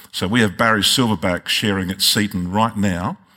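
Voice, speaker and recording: On a very clean recording with a silent background, a man with an Australian accent speaks at a moderate pace and a fairly low pitch, his intonation fairly even. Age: 60s. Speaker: pastor. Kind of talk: sermon.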